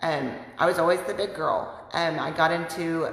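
Audible room echo surrounds a woman who talks fairly slowly at a fairly low pitch. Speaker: weight loss vlogger. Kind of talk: casual vlog chat, personal testimony. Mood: earnest, reflective. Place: home room. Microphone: phone near.

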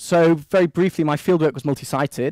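Speaking with a Manchester accent, a man delivers his words at a fairly quick pace in a dark, mellow tone, the sound dry with no echo and the background quiet. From Manchester, England. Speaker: postdoc researcher presenting at a seminar. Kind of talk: academic presentation. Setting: seminar room with microphone. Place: meeting room.

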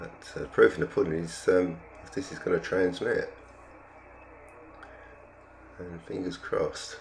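A man talks at a low pitch with vocal fry, fairly even intonation and a fairly slow pace, leaving long, frequent pauses. Room echo is audible.

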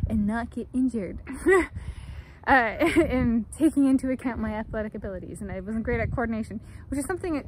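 A woman talks at a fairly quick pace with lively intonation and vocal fry. The sound is dry with no echo, over light background noise. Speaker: vlogger. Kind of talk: casual vlog chat. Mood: amused, reflective. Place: open country. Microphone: phone near.

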